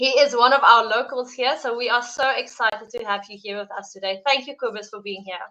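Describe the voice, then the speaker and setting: A woman with a South African accent, high-pitched and fairly quick, with fairly even intonation, big swings in loudness and hardly any pauses. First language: Afrikaans. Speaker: live stream host. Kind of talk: interview introduction. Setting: live stream.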